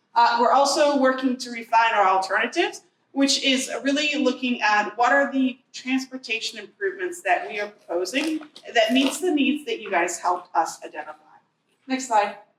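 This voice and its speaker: Loud and high-pitched, a woman talks at a moderate pace with very wide pitch swings. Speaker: transportation agency planner. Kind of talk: presentation. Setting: community meeting with audience.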